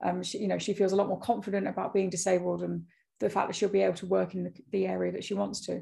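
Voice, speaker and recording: Speaking at a very fast pace, a woman talks with a British accent. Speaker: fashion business founder. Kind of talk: casual interview. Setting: podcast interview. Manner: fast talker.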